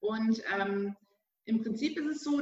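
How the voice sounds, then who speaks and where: Lively in intonation, a woman talks at a very slow pace. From Bavaria, Germany. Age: 40s. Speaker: business mentor. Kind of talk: podcast interview. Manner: hesitant, many fillers.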